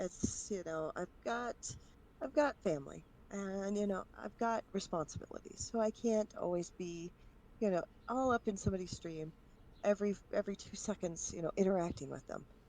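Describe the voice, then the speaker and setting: Moderate pace and a dark, mellow tone from a woman. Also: medium pitch for a woman, ordinary pitch variation. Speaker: streamer. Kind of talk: casual interview podcast. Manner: energetic.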